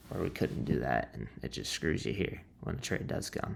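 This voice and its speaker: A man's quiet voice with vocal fry, at a moderate pace. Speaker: day trader vlogger. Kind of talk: casual trading recap. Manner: quiet, subdued.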